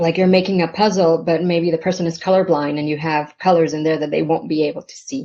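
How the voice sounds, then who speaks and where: A woman's fairly low voice, very fast with hardly any pauses, fairly even intonation and big swings in loudness. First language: Spanish. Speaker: novelist. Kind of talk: panel conversation. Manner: halting, many fillers.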